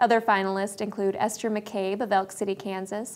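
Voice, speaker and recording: The woman talks at a fairly quick pace. Her intonation stays fairly even. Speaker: news presenter. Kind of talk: news report reading. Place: studio. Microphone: lapel.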